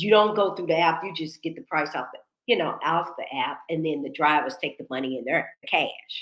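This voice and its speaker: A woman with an ordinary speaking voice, fairly low in pitch, at a moderate pace with big swings in loudness. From United States. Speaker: talk show host. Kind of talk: casual chat. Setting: livestream.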